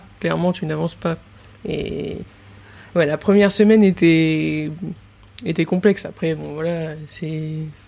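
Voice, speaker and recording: Speaking at a fairly slow pace with long, frequent pauses, a woman with a fairly low pitch keeps her intonation fairly even while her loudness swings widely. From Nice, southern France. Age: 20s. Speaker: chef. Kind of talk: casual interview.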